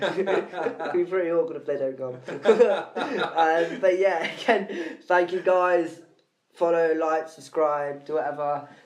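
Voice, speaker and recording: A man with an English accent speaks at a very slow pace. His voice is high-pitched with ordinary pitch variation. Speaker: podcast host. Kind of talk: casual chat.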